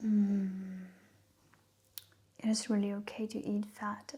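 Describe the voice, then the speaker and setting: Soft-spoken delivery with a non-native accent at a very slow pace. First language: not English. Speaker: ASMR creator. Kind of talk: soft-spoken ASMR talk. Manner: halting.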